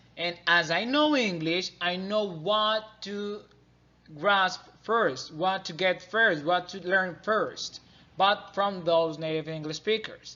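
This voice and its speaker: The speaker has a Spanish accent and talks at a very slow pace with ordinary pitch variation. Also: man, high pitch for a man. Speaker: student learning to be an English teacher. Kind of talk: class presentation. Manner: halting, many fillers and restarts.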